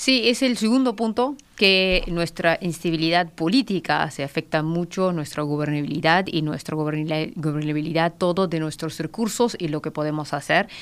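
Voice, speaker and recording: A woman speaks at a moderate pace with hardly any pauses, her fairly low voice lively in intonation, on a very clean recording with a silent background. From Pakistan, near Afghan border. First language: Pashto or Urdu (speaking Spanish). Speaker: political analyst. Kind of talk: radio interview. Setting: radio studio. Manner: halting.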